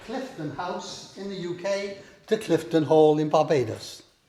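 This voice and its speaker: A man with a Welsh accent at a fairly slow pace, ordinary pitch variation, audible room echo and noticeable background noise. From Wales. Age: 70s. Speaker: historic house owner. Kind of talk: guided house tour.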